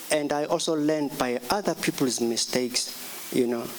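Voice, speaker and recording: A man keeps a moderate pace as noticeable background noise is heard around him. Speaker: jazz saxophonist. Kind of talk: music workshop talk. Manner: halting, many fillers.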